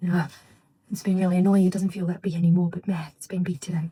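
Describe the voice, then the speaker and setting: Soft-spoken and somewhat breathy, a woman talks at a medium pitch. Her tone is dark and mellow. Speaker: vlogger and mother. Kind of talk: casual vlog talk to camera. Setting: at home, getting ready for bed. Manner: quiet, soft-spoken.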